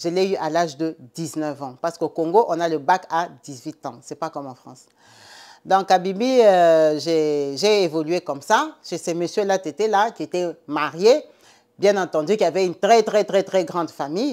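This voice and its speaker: This woman has a fairly low pitch and a dark, mellow tone, with ordinary pitch variation. Her fairly slow delivery shows big swings in loudness. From Central/West Africa (francophone). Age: 40s. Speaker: storyteller. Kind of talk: storytelling.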